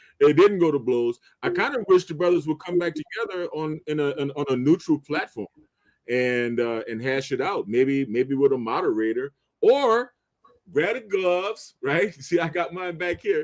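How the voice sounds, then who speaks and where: A man's fairly high, normal speaking voice with lively intonation at a moderate pace, in a dry, close sound with no echo. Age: 60s. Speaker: live stream panelist. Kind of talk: casual panel debate.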